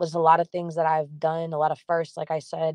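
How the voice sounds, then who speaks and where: This woman's voice is very deep and low in pitch, heard in a dry, close recording with no echo. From Massachusetts North Shore, Peabody. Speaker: singer-songwriter. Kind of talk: podcast interview. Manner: casual, filler-heavy.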